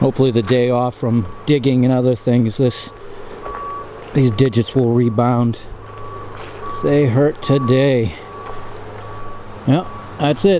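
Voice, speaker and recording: Speech comes at a fairly slow pace with long, frequent pauses and very even loudness. Noticeable background noise is present. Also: man. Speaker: metal detecting vlogger. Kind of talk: casual vlog narration. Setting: outdoors.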